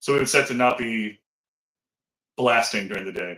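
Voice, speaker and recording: The man's voice is loud, with a bright, sharp tone. He speaks at medium pitch with ordinary pitch variation. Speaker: sports podcast co-host. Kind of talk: casual chat. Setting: home back office, video call.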